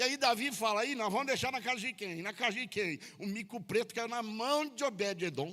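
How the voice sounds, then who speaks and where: High in pitch with a bright, sharp tone, a man's raised, projected voice moves at a moderate pace with hardly any pauses and ordinary pitch variation. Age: 60s. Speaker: pastor. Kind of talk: sermon. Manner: casual, joking.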